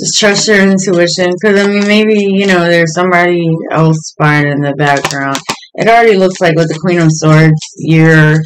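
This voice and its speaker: A man speaks with a high voice for his sex. His intonation stays fairly even over light background noise. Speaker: tarot reader. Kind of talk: tarot reading commentary. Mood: calm, friendly.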